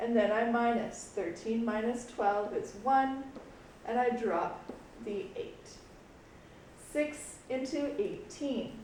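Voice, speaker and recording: At a very slow pace with long, frequent pauses, a high-pitched woman's voice comes through audible room echo and noticeable background noise. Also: lively intonation. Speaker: schoolteacher. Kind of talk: tutorial. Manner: casual.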